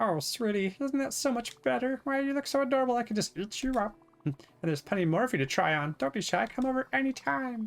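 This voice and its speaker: A squeaky, put-on character voice at fairly high pitch rattles along at a very fast pace. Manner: sweet, gushing.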